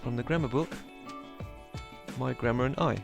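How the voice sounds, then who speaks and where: With music in the background, a man with a British accent speaks with ordinary pitch variation. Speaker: English teacher.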